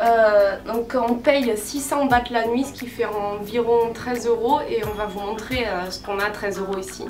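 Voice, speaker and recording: Backed by music in the background and audible room echo, a woman with a fairly high pitch speaks at a fairly slow pace with fairly even intonation and hardly any pauses. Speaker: travel vlogger. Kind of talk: travel vlog. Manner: casual, hesitant with many fillers.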